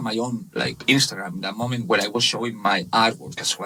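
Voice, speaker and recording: With a Spanish accent, a man speaks in a bright, sharp tone. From Spain, Barcelona (Catalonia). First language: Spanish/Catalan. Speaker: webshop manager. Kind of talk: casual interview. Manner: halting, many fillers.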